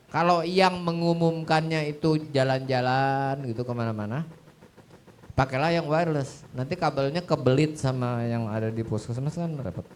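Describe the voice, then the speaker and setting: A man's shrill, fairly high voice carries an animated tone with ordinary pitch variation. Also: moderate pace. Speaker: audio system expert. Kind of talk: Q&A talk on stage. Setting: stage with audience at showcase event.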